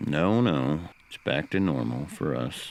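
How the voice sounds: Putting on a character voice, a man speaks at an extremely low pitch with vocal fry, a slightly mellow tone, lively intonation and a fairly slow pace.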